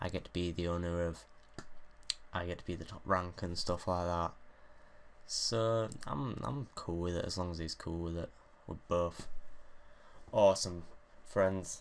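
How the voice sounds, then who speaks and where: A man mumbles in a very deep, low pitch with a British accent and ordinary pitch variation. His pace is fairly slow, with long, frequent pauses. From Great Britain. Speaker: gaming YouTuber. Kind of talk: casual gameplay commentary. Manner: mumbling.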